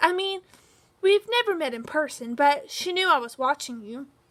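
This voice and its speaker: Putting on a character voice, a woman speaks high and at a moderate pace. Her pitch swings very widely. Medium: read story. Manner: nervous, with bleating outbursts.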